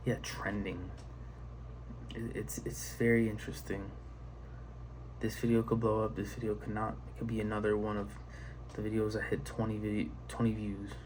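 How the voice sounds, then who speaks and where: Soft-spoken, a man with a fairly low pitch makes very wide pitch swings and leaves long, frequent pauses. Audible room echo surrounds his voice. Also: moderate pace. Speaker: video creator. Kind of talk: casual monologue. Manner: halting.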